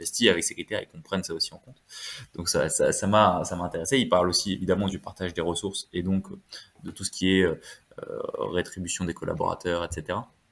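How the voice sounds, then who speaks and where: A man speaks at a very fast pace, his loudness swinging widely. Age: 20s. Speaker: wealth management adviser. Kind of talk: podcast interview. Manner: hesitant, many fillers.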